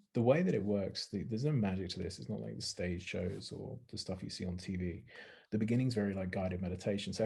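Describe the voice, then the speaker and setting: A man's very deep, low voice with a dark, mellow tone and vocal fry, at a very fast pace. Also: ordinary pitch variation. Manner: calm, guided meditation style.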